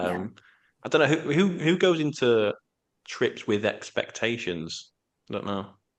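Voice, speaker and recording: A man in a British accent speaks fairly slowly at a fairly high pitch, with vocal fry, very wide pitch swings, and long, frequent pauses. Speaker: podcast host. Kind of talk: casual chat.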